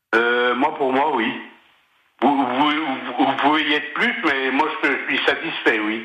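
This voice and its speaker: With audible room echo, a man talks at a very slow pace with fairly even intonation. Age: 60s. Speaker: retired bus driver and longtime listener. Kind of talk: radio interview. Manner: halting.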